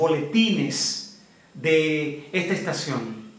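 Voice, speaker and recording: Audible room echo surrounds a man speaking with ordinary pitch variation. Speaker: interviewer, news channel host. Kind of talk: interview questions. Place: home room.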